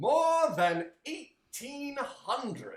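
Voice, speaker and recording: A put-on character voice, high-pitched and warm in tone, comes through with a slight echo. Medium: read story. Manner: hearty, warm, expansive.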